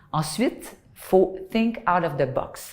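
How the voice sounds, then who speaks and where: Her voice somewhat breathy and medium in pitch, a woman with a Quebec accent speaks in lively intonation. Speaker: communications director. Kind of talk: corporate testimonial interview.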